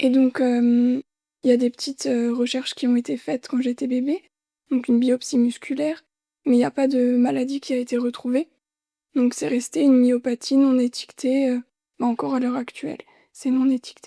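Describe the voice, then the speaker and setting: With a high pitch and a dark, mellow tone, a woman talks at a moderate pace in fairly even intonation, leaving long, frequent pauses. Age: 20s. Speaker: heart transplant patient and midwifery student. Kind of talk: testimony interview.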